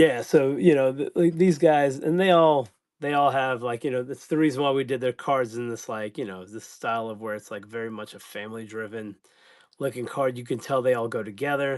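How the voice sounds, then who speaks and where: Against a quiet background, a man with a medium-pitched voice speaks at a moderate pace, his loudness swinging widely. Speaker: live-stream card seller. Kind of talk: live stream chat. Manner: halting.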